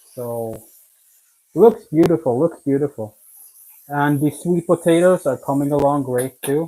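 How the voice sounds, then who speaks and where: The speaker has a Swedish accent and a fairly slow pace. Long pauses come often. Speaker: home cooking video maker. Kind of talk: live cooking stream. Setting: kitchen, live stream. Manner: casual, conversational.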